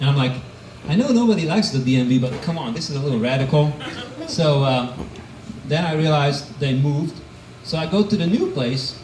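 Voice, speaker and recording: A man's fairly high voice with long, frequent pauses, noticeable background noise and audible room echo. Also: ordinary pitch variation, fairly quick pace. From Hungary. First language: Hungarian. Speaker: amateur stand-up comedian. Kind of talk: stand-up. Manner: hesitant with fillers.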